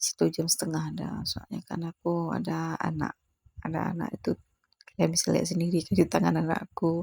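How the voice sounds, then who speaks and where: A woman at a fairly slow pace in a dry, close sound with no echo. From Aceh, Indonesia. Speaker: housewife vlogger. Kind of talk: casual voiceover vlog. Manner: halting, self-correcting; chatty.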